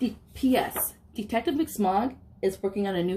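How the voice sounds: The delivery is a natural reading voice.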